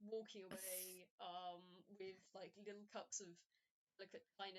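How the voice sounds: Over a quiet background, the text is read in a natural reading voice.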